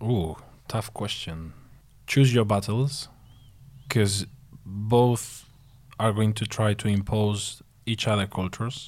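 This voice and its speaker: The speaker has a Spanish accent and fairly even intonation, talking at a very slow pace with long, frequent pauses. The recording is very clean, with a silent background. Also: man, fairly low pitch for a man. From southern Spain. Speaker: husband of host, guest. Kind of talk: casual chat.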